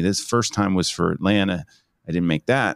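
In a very clean recording with a silent background, a man with an American accent and a very deep, low pitch speaks at a fairly quick pace. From New Jersey, Jersey Shore. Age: 50s. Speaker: headshot photographer. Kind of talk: interview. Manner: animated.

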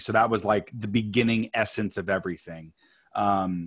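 A man with an American accent and a normal speaking voice talks fairly quickly at a fairly low pitch with fairly even intonation, in a very clean recording with a silent background. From New York. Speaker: author and producer. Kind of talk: interview.

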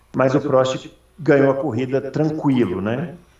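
A man at a moderate pace, with audible room echo. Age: 40s. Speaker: motorsport podcast host. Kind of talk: casual chat.

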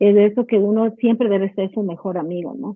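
The woman has an ordinary speaking voice. She talks at a fairly quick pace with ordinary pitch variation. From Ecuador. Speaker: clinical psychologist. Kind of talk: casual interview chat.

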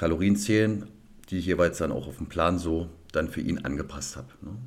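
With audible room echo, a man talks at a moderate pace in a very deep, low voice showing ordinary pitch variation. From Cottbus, Lusatia, eastern Germany. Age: 30s. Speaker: personal trainer and former bodybuilder. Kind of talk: interview conversation. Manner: hesitant, many fillers.

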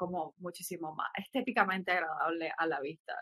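A bright, sharp tone in a dry, close sound with no echo. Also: woman. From Nicaragua. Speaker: collage artist and graphic designer. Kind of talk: casual interview chat.

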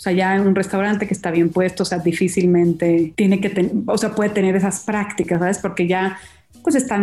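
With a mellow, dark tone, the speaker keeps to a moderate pace. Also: woman. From Mazatlán, Sinaloa, Mexico. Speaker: chef. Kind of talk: casual chat. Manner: animated.

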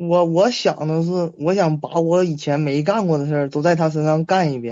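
Speaking at a moderate pace, a man has a fairly high pitch and a normal speaking voice. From Shenyang, northeast China. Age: 20s. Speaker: caller seeking relationship advice. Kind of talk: call-in conversation.

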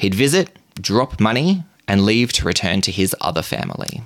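On a very clean recording with a silent background, a man with an Australian accent uses vocal fry and very wide pitch swings at a moderate pace. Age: 30s. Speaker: podcast host. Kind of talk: storytelling. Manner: animated.

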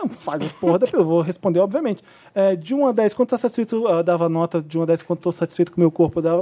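Here a man talks at a very fast pace in a high pitch, with ordinary pitch variation. The sound is dry and close, with no echo. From Brazil, Volta Redonda (Rio de Janeiro state). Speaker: podcast host. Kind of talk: casual chat.

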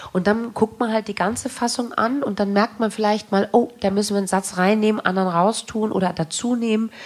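A woman speaks at a fairly high pitch with fairly even intonation and hardly any pauses. Noticeable background noise is present. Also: fairly quick pace. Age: 40s. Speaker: stage actress. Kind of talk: interview on stage. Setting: stage with audience.

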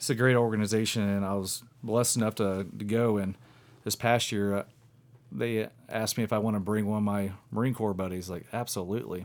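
A man's fairly low-pitched voice at a fairly quick pace, a plain, everyday voice, on a very clean recording with a silent background. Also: fairly even intonation. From Southwest Indiana. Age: 30s. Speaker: deer hunter. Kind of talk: casual chat. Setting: studio.

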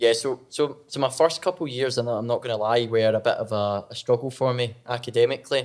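Over a silent background on a very clean recording, a man with a Scottish accent speaks at medium pitch and a fairly quick pace, with fairly even intonation and hardly any pauses. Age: 20s. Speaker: former college soccer player. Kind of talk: casual chat. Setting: studio.

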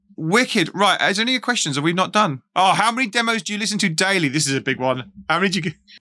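A raised, projected voice with a bright, sharp tone moves at a very fast pace. The recording is very clean, with a silent background. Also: man, high pitch for a man, lively intonation. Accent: English. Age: 40s. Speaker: podcast host. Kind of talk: casual interview. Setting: live stream.

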